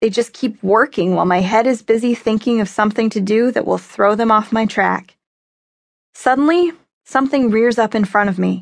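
A woman talks at a fairly quick pace with a fairly high pitch. Her tone is animated, with ordinary pitch variation. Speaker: audiobook narrator. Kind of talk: dramatic audiobook narration, first person as a young girl turned dog. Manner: tense, breathless chase passages; animated, with quoted men's shouts; wry and emotional, shifting to plaintive and grieving.

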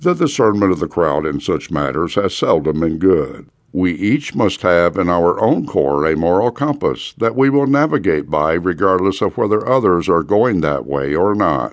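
In a solemn tone, a man with a very deep, low pitch speaks at a moderate pace with very wide pitch swings. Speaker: audiobook narrator. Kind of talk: rally speech, urgent sermon-like exhortation read from a book. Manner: urgent, forceful, impassioned; solemn, preacher-like, building emphasis.

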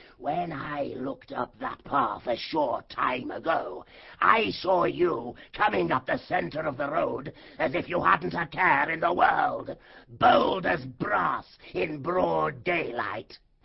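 A put-on character voice, hoarse and raspy, at a middle pitch and a fairly slow pace. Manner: menacing, bad-tempered, commanding.

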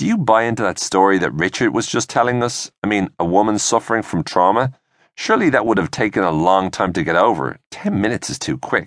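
Against a quiet background, a man with an Irish accent speaks at a fairly quick pace in a fairly low voice with lively intonation. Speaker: audiobook narrator. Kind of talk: audiobook narration reading a scripted story. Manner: steady, clear storyteller pacing, shifting into character voices for dialogue.

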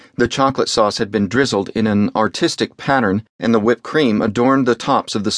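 The pitch shows ordinary variation. The delivery is plain reading aloud.

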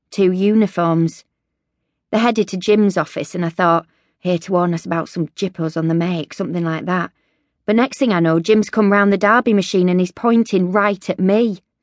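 An ordinary speaking voice from a woman comes at medium pitch and a moderate pace, with fairly even intonation. The sound is dry and close with no echo, over a quiet background. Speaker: audiobook narrator. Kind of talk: dramatic first-person audiobook narration of an epileptic seizure. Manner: breathless, fragmented, rhythmic delivery of sensory images; gritty, blunt first-person voice with swearing.

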